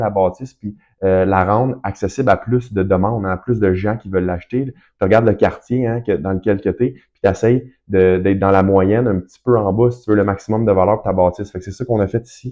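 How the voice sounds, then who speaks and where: Here is a man with a Quebec accent and a fairly low pitch. He speaks fairly quickly with ordinary pitch variation. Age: 30s. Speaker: real estate investor and broker. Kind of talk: casual tutorial. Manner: fast; hesitant, many fillers.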